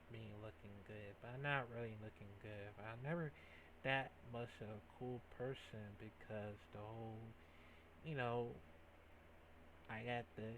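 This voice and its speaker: A man's medium-pitched voice at a fairly slow pace, with fairly even intonation and long, frequent pauses. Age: 20s. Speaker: YouTube reaction video creator. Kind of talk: casual reaction commentary. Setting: home gaming setup. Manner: halting, many fillers.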